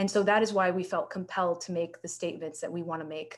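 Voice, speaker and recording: Fairly quick and monotone, a woman speaks at a fairly low pitch with an American accent. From Florida. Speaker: public health researcher; researcher presenting commentary. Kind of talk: presentation. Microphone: video call.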